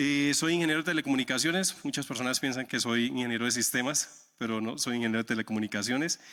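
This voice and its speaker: On a very clean recording with a silent background, a man with a strong Santander Colombian accent talks at a very fast pace in a medium pitch with a bright, sharp tone. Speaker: software architect, conference speaker. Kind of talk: conference talk. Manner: many filler 'eh' hesitations.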